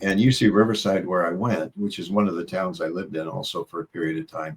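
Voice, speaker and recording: Speaking with an American accent, a man uses a very deep, low pitch, a relaxed tone and ordinary pitch variation. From Iowa and Southern California. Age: 70s. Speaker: psychologist and mentor. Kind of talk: interview. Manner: relaxed, with frequent hesitations.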